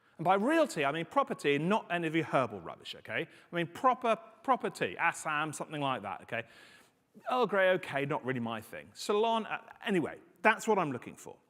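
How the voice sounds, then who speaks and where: A man with a British accent talks at a high pitch and a fairly quick pace in an animated tone. His pitch swings very widely, and his loudness swings a lot. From UK. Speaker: conference speaker on confidential computing. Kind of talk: conference talk.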